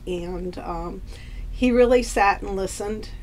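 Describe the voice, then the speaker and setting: With fairly even intonation and a medium pitch, a woman speaks in a room with audible room echo. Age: 60s. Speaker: patient. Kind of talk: testimony. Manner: halting, many fillers.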